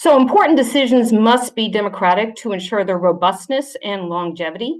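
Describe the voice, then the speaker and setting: An unremarkable speaking voice with ordinary pitch variation at a moderate pace. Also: woman. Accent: American. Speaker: submitter, PhD student and ecologist. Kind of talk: reading a prepared oral submission. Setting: video call to a parliamentary committee.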